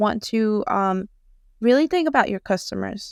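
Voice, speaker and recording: The voice carries a slight Southern US accent. The recording is very clean with a silent background, and the sound is dry and close with no echo. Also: woman. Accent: slight Southern US country. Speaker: Shopify web designer. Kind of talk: podcast interview.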